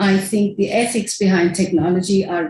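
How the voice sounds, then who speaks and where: Here is a woman with a medium-pitched voice. It sounds somewhat breathy. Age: 60s. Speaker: filmmaker and academic speaker. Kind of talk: conference presentation. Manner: casual, conversational.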